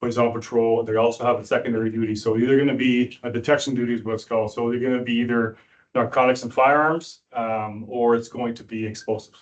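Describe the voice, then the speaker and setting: Talking very fast with hardly any pauses, a man with a Canadian accent keeps a medium pitch and a monotone, flat intonation. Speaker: police sergeant, dog handler trainer. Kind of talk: presentation to police board.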